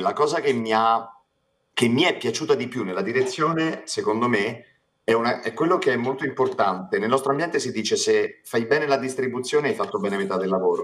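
This man's pitch is medium, with very wide swings. He talks at a fairly quick pace. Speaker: voice actor. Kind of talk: casual chat. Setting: live stream.

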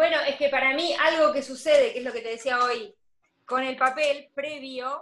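A woman talks at a high pitch and a fairly slow pace. Her intonation is fairly even. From Argentina, provinces outside Buenos Aires. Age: 30s. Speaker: graphic designer and organization course teacher. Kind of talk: casual interview livestream. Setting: video call livestream.

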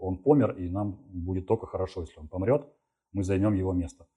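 Over a quiet background, a man with a fairly low pitch and dark, mellow tone talks at a fairly quick pace, sounding somewhat breathy. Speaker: software developer. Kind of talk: interview.

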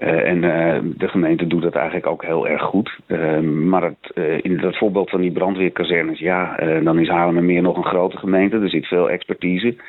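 This man's voice is very deep and low, with monotone, flat intonation. He keeps a moderate pace and very even loudness. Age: 50s. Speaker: local councillor. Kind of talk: radio interview. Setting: phone call. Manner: hesitant, many filler sounds.

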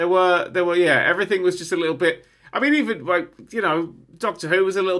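A man's raised, projected voice, high in pitch, bright and sharp in tone, with lively intonation at a very fast pace on a very clean recording with a silent background. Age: 30s. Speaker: podcast co-host. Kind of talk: casual chat.

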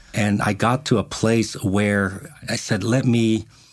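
In an American accent, this man talks with a fairly low pitch. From Japan, then United States from 13. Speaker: pastor. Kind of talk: interview conversation. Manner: hesitant, many filler words.

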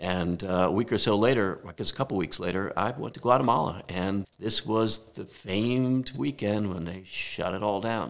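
This man has an ordinary speaking voice, fairly low in pitch, with ordinary pitch variation. He talks at a moderate pace with hardly any pauses. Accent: American. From New Jersey. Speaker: architect. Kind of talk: casual chat. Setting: home garage studio.

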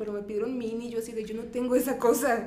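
Over noticeable background noise and audible room echo, a woman speaks very fast at a fairly high pitch. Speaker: psychologist and sex educator. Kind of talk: interview.

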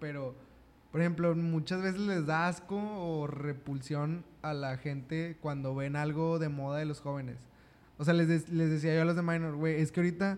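Moving at a moderate pace, a man with a fairly high pitch and fairly even intonation has an unremarkable speaking voice. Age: 20s. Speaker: podcast host. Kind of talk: casual chat.

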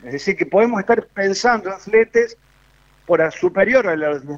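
A man with a Cordoban accent speaks at a high pitch. His pace is fairly slow and his intonation lively. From Córdoba, Argentina. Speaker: foreign trade specialist. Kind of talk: casual chat.

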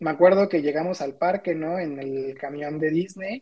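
A man speaks with a dark, mellow tone and a fairly high pitch. His pace is fairly slow and his intonation fairly even. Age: 20s. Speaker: graphic designer. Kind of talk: casual chat.

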